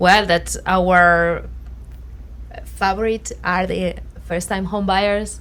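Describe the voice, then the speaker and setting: There is audible room echo as a woman speaks. She goes at a very slow pace with long, frequent pauses. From southern Spain. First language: Spanish. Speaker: realtor. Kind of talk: casual chat. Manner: halting.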